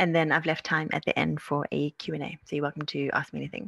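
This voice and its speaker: A woman with an Australian accent speaks at a fairly quick pace, the sound dry and close with no echo. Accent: Australian-sounding. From South Africa. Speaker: naturopath and herbalist. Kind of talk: webinar presentation. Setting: video call webinar.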